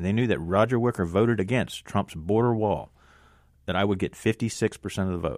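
A man's fairly low voice in a Southern US accent at a fairly quick pace, with ordinary pitch variation, a dry, close sound with no echo, and a very clean recording, silent background. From US South (Mississippi). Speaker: political candidate and Marine veteran. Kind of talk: radio interview. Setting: studio. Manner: resolute.

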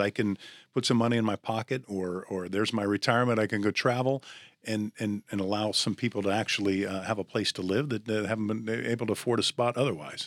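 Recorded very cleanly against a silent background, with a dry, close sound and no echo, a man talks fairly quickly at medium pitch in a normal speaking voice. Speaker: podcast host. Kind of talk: podcast interview. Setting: studio.

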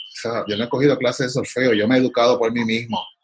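The voice belongs to a man. He has a Puerto Rican accent. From Puerto Rico. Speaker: composer and pianist. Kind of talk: casual interview.

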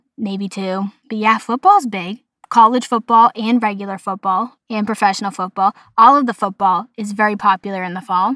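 A woman with a Boston accent speaks at a medium pitch in a bright, sharp, animated tone. The recording is very clean and dry, with a silent background, a close sound and no echo. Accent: Boston, noticeable. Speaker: podcast host. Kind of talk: casual solo podcast monologue. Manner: animated, chatty.

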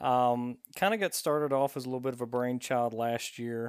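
Speaking at a medium pitch and a moderate pace, a man shows ordinary pitch variation. The recording is very clean, with a silent background. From West Virginia. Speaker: golf podcast host. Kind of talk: casual chat.

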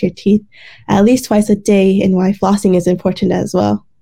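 Somewhat breathy, a woman's voice sits at a medium pitch with a dark, mellow tone. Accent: American. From Detroit suburbs, Michigan. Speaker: pre-dental student. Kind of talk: casual interview. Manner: animated.

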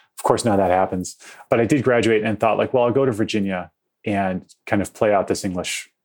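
A fairly quick American accent with ordinary pitch variation on a very clean recording with a silent background. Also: man. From US Midwest, Detroit. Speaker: news product leader at tech platforms. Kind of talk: interview conversation. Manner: upbeat.

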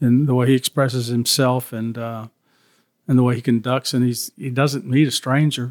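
At a moderate pace, a man talks at medium pitch with a monotone, flat intonation. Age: 70s. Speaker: chorus singer tenor. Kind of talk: casual interview chat.

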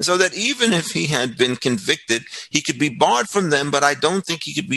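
A man's bright, sharp voice, fairly high in pitch, with very wide pitch swings, vocal fry and a fairly quick pace. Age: 70s. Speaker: law professor. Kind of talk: casual chat.

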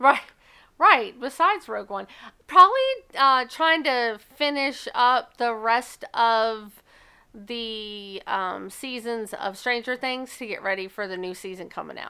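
Bright and sharp in tone, a woman talks at a fairly high pitch with lively intonation and big swings in loudness. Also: fairly slow pace. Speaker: podcast co-host. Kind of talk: casual chat.

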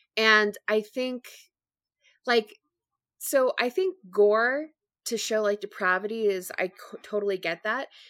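This is a normal speaking voice with ordinary pitch variation. The sound is dry and close, with no echo. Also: woman. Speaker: podcast guest. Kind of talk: casual chat.

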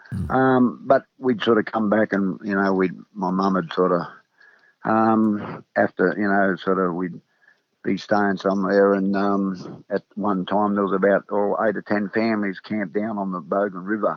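A man with a rural Australian accent talks at a moderate pace. His pitch is fairly low and his intonation fairly even. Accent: broad rural Australian. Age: 60s. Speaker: retired racehorse trainer. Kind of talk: interview. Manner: halting.

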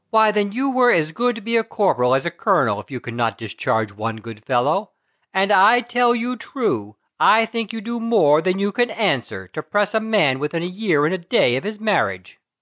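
Recorded very cleanly with a silent background and a dry, close sound with no echo, a man does a put-on character voice, high for a man, at a moderate pace with very wide pitch swings. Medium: audio drama. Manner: blunt.

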